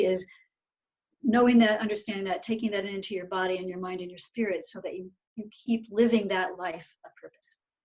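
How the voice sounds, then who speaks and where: A woman speaks with ordinary pitch variation. Her voice is somewhat breathy. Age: 60s. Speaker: researcher and coach for older women. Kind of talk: interview.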